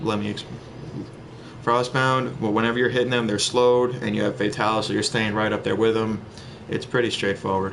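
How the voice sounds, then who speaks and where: Audible room echo surrounds a man speaking at medium pitch and a fairly quick pace. His intonation is monotone and flat. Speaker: gaming video creator. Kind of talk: game guide commentary. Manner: halting, with frequent fillers and repeats.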